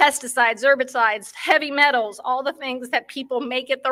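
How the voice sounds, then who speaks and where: On a very clean recording with a silent background, a woman uses a raised, projected voice, high-pitched and bright and sharp in tone, at a moderate pace with fairly even intonation. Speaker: pet cannabis product maker. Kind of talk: conference talk.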